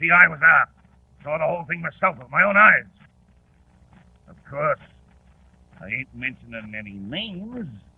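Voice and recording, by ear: In a put-on character voice, a man speaks at a moderate pace with a fairly high pitch, lively intonation and long, frequent pauses. His voice has a husky, rough edge and vocal fry.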